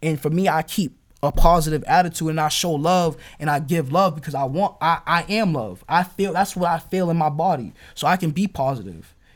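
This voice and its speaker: An ordinary speaking voice at a fairly quick pace, with ordinary pitch variation, on a very clean recording over a silent background. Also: man, fairly high pitch for a man. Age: 20s. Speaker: rapper. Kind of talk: casual interview.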